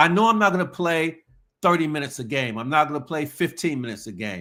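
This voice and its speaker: The tone is bright and sharp in a very clean recording with a silent background. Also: man. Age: 60s. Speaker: motivational speaker and former pro basketball player. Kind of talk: motivational talk. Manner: repetitive, halting restarts.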